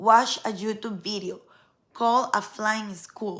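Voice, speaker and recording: Very slowly, a woman speaks in a fairly high pitch. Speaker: spiritual vlogger. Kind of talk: spiritual monologue. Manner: halting; loud.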